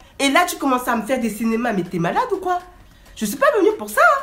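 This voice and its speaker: A woman talks in a raised, projected voice with very wide pitch swings. Noticeable background noise is present. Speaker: vlogger. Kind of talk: storytime. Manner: animated.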